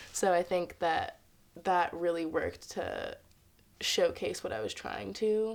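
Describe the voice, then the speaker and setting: A woman speaks with a New York accent. Her pace is fairly slow. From Harlem, New York, US. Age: 20s. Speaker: dancer and choreographer. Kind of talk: interview monologue. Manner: casual with frequent fillers.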